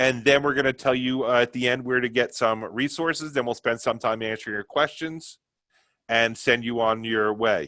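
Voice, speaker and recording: A man speaks with a New York accent at a medium pitch. His tone is bright and sharp, with fairly even intonation. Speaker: company sales presenter. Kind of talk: product webinar presentation. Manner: fast.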